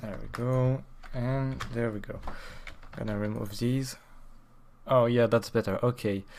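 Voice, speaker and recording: With a French accent, the speaker talks at a fairly slow pace, leaving long, frequent pauses. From France. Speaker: streamer. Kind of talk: casual live stream chat while working. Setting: live stream. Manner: halting, many fillers.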